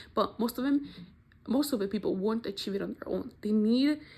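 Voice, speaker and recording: A woman speaks at a fairly quick pace in a somewhat breathy, medium-pitched voice with ordinary pitch variation. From Mexico. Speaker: university student. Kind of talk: class presentation video.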